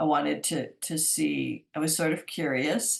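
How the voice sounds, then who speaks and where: This woman's voice sits very deep and low in pitch, with vocal fry. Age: 60s. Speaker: psychic speaker. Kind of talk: talk to a community group. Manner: halting, with many fillers and restarts.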